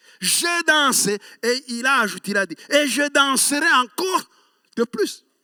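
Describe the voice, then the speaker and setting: A man uses an extremely high, raised and projected voice with a bright, sharp tone. He speaks very slowly, and the sound is dry and close with no echo. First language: Kinyarwanda (speaking French). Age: 60s. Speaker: pastor. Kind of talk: sermon.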